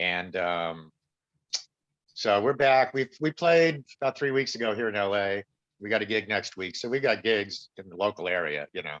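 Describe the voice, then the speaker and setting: A normal speaking voice from a man, fairly low in pitch, at a moderate pace with big swings in loudness, against a quiet background. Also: lively intonation, dry, close sound with no echo. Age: 60s. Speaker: actor and musician. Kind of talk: casual chat.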